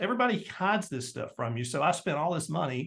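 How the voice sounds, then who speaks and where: A man with a Tennessee accent speaks with lively intonation. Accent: Southern US (Tennessee). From US South, Tennessee. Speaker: entrepreneur and marketing guest. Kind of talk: interview. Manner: fast; animated.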